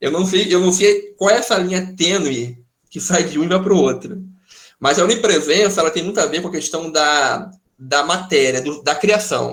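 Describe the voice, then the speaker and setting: Audible room echo surrounds a man speaking at a moderate pace with a high pitch and ordinary pitch variation. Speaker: pastor teaching a Bible study. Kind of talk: online Bible study lecture with Q&A.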